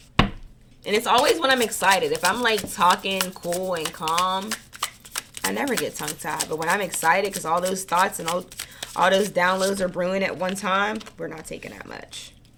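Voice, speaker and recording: Noticeable background noise accompanies a woman speaking at a medium pitch, with ordinary pitch variation and big swings in loudness. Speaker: tarot card reader. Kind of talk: collective tarot reading. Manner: tongue-tied, stumbling when excited; fast, mouth racing thoughts.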